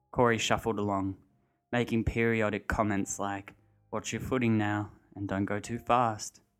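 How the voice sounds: A natural reading voice with fairly even intonation is heard over a quiet background.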